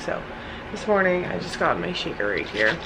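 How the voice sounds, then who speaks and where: A woman speaks quietly at a fairly low pitch, with audible room echo and noticeable background noise. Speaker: fitness vlogger. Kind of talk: casual vlog. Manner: monotone at the start.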